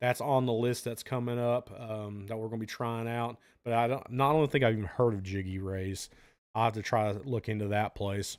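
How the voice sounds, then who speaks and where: A man's medium-pitched voice with fairly even intonation at a fairly quick pace, on a very clean recording with a silent background. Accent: Southern US. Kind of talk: casual live-stream chat answering viewer questions.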